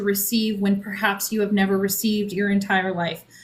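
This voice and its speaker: A woman speaks with a fairly high pitch and a somewhat breathy sound. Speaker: author and spiritual guide. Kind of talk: podcast interview. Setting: live stream.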